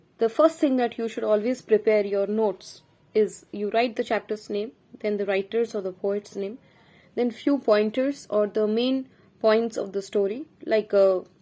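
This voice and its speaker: A woman with a dark, mellow tone speaks at a moderate pace, fairly high in pitch, with fairly even intonation. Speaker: teacher. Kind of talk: lecture.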